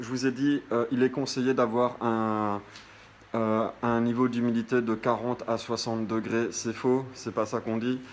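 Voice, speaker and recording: The delivery is fairly slow and the intonation monotone and flat. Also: man. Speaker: DIY home tips youtuber. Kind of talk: casual tutorial. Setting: home, walking while talking. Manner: hesitant, many fillers.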